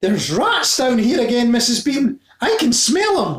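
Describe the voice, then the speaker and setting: A man shouts loudly in a put-on character voice at an extremely high pitch. His intonation is lively. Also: moderate pace. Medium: read story. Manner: loud, shouting.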